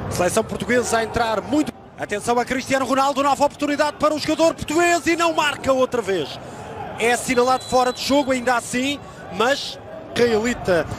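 A man's extremely high-pitched voice, animated in tone, with lively intonation, a fairly quick pace and noticeable background noise. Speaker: football commentator. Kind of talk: live football commentary. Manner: animated, fast-paced play-by-play that surges on chances and goals.

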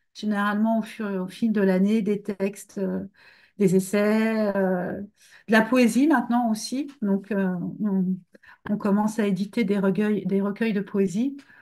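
Against a quiet background, a woman speaks at a medium pitch. Her pace is fairly slow. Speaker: book editor. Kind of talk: interview. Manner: halting. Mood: relaxed, thoughtful. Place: home room. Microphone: webcam.

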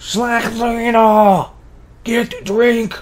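A man puts on a character voice at an extremely high pitch, delivered in a flat monotone.

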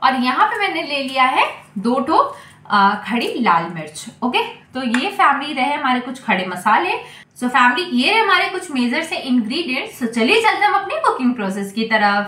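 A woman talks in a raised, projected voice at a fairly slow pace. Room echo is audible. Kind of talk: cooking tutorial. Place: kitchen. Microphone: phone near.

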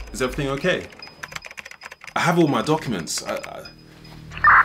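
Moderate-paced speech in a British accent over loud background noise. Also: man. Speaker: comedy sketch creator. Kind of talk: comedy sketch acting. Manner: confused, nervous.

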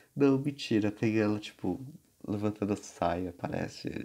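A man's fairly low voice unfolds at a fairly slow pace, its pitch varying in an ordinary way. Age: 20s. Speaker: music collector. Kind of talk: casual chat. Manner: animated. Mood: amused, relaxed. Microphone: phone near.

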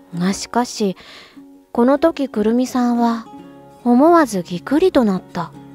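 A woman high in pitch with very wide pitch swings, at a fairly slow pace with long, frequent pauses, in a dry, close sound with no echo over background music. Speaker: voice actor / narrator. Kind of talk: literary audiobook reading, calm narration.

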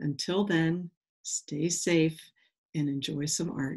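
With a low pitch, a slightly mellow tone and a slightly husky edge, a woman speaks slowly with fairly even intonation.

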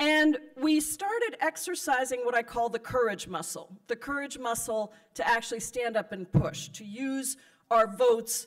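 The background stays quiet. A woman speaks with lively intonation at a moderate pace. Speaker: politician addressing a convention. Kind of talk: political speech. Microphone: podium.

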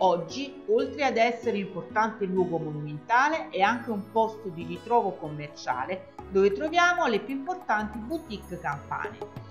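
Background music accompanies a woman's voice. She keeps a moderate pace and barely pauses. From Naples, Italy. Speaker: tour guide. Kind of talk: travel guide narration.

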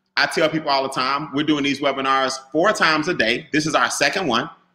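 A man's bright, sharp tone. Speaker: webinar host. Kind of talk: energetic webinar talk. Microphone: webcam.

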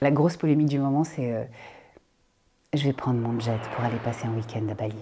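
The voice has a dark, mellow tone and moves at a fairly quick pace over a quiet background. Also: woman. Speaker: voice actor. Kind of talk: interview answer. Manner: casual, hesitant. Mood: playful, amused, expressive. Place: studio.

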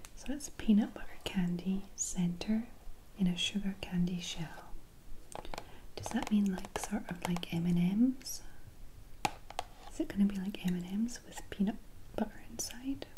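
The speaker is soft-spoken and goes at a fairly slow pace with long, frequent pauses. Noticeable background noise sits behind the voice. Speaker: taste test host. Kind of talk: soft relaxing taste test chat. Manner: soft-spoken, hushed ASMR voice.

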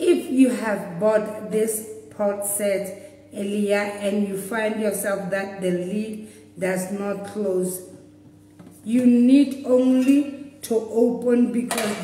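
Audible room echo follows a woman who talks at a very slow pace. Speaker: presenter. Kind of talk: live product demonstration. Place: shop. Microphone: phone near.

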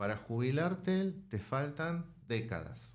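The voice belongs to a man. He swings his pitch up and down very widely. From Argentina. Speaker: author and political science lecturer; political science lecturer. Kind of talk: interview. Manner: measured, explanatory. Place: studio. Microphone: studio mic.

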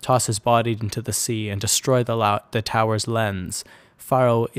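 An unforced reading voice. The intonation stays fairly even.

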